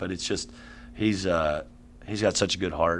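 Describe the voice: A man at a moderate pace, with vocal fry.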